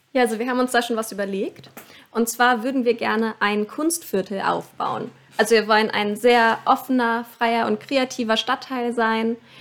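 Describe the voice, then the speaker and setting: Using a normal speaking voice, a woman at a fairly high pitch talks at a moderate pace with fairly even intonation. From Lower Saxony, Hannover area. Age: 20s. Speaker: scout camp organiser. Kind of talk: podcast interview.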